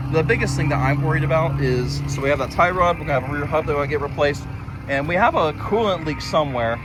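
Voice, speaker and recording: Speech from a man comes very fast. The room echo is audible, and background noise is noticeable. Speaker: amateur racing driver and vlogger. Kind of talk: casual vlog commentary. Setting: outdoors at a dirt race track. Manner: halting, stuttering.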